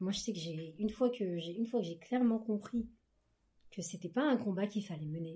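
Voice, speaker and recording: A woman's very fast, somewhat breathy speech at a medium pitch, dark and mellow in tone, with ordinary pitch variation. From France, Paris region, Ghanaian heritage. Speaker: book club guest. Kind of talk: casual chat.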